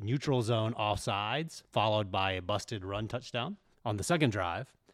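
Using an unremarkable speaking voice, a man talks at a moderate pace. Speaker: sports site editor. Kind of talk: casual chat.

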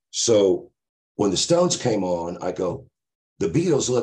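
A man with an American accent, vocal fry and very wide swings in pitch. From Oklahoma, Tulsa. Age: 60s. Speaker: blues musician. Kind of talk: casual interview storytelling. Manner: energetic, animated.

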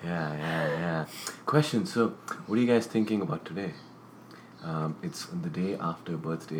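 Over noticeable background noise, a man with a very deep, low pitch and ordinary pitch variation speaks at a fairly slow pace with long, frequent pauses. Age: 20s. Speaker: podcast co-host. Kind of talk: casual chat.

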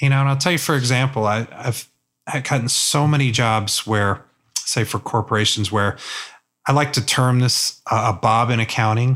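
A man with an American accent and a normal speaking voice, medium pitch, fairly even intonation, moderate pace and very even loudness. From US South. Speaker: photojournalist. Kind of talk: casual chat. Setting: studio.

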